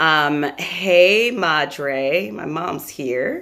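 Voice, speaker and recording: A woman speaks loud and animated, with a very deep, low pitch and a bright, sharp tone. The recording is very clean, with a silent background. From New York. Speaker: motivational speaker and live stream host. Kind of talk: motivational live stream talk. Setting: live video stream.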